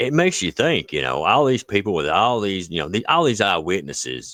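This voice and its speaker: A man with an Appalachian accent, very deep and low in pitch, bright and sharp in tone, with vocal fry, very wide pitch swings and a fairly quick pace, in dry, close sound with no echo on a very clean recording with a silent background. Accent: Appalachian hillbilly. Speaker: cryptid podcast co-host. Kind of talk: casual chat. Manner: halting, many fillers.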